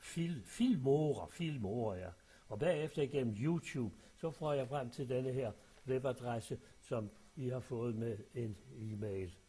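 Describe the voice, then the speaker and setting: Speaking at a very slow pace, the voice is somewhat breathy with a dark, mellow tone and ordinary pitch variation. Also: man, medium pitch for a man. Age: old. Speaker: retiree sending a voice message to family. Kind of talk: personal voice message. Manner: halting, with many fillers.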